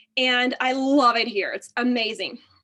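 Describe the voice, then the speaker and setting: Over a very clean recording with a silent background, a woman with a Texan accent speaks at a high pitch and a fairly slow pace, her tone bright, sharp and animated. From Texas. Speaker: physical therapist. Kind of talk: testimony.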